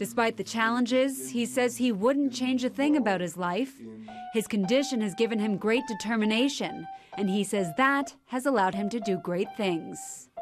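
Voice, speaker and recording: Lively intonation carries the moderate-paced speech, with music in the background. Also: woman, fairly high pitch for a woman. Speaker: TV news reporter. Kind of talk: TV news report narration.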